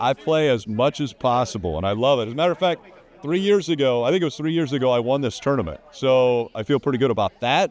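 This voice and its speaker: At a very fast pace, a man speaks at a medium pitch with lively intonation. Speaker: motorsport race commentator. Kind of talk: casual interview. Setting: charity poker event.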